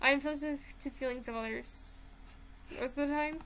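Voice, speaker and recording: Raised and projected, a woman's voice carries fairly even intonation at a fairly quick pace. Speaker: YouTuber taking a personality test. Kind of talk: casual chat. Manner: loud.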